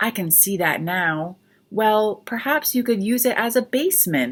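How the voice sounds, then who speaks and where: A woman uses a squeaky, put-on character voice, fairly high in pitch with lively intonation. She talks at a moderate pace on a very clean recording with a silent background. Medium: read story. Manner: friendly, eager.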